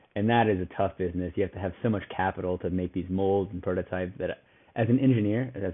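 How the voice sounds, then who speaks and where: A man with an American accent rattles along very fast, his pitch fairly low and his intonation fairly even. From St. Louis, Missouri. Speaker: fintech startup co-founder. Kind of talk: interview.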